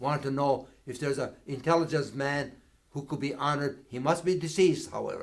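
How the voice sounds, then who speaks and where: A man with a normal speaking voice talks at a fairly quick pace in a fairly high pitch, his intonation fairly even. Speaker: retired Army colonel, war veteran. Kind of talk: oral history interview answer.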